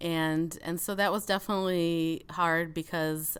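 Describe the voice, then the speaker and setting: Here a woman talks with a Chicago accent. The recording is very clean, with a silent background. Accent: mild Chicago. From Chicago suburbs, US (immigrated from Soviet Union as child). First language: Russian. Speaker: podcast guest. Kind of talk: casual interview chat.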